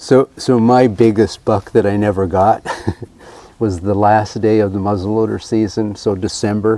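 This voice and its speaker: Delivered at a moderate pace in a monotone, flat intonation, the speech sits over noticeable background noise. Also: man. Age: 70s. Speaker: historical reenactor and hunter. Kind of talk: casual chat.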